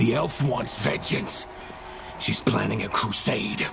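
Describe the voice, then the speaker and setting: Someone talks in a put-on character voice at a fairly slow pace. Loud background noise fills the recording. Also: man, medium pitch for a man. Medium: video game.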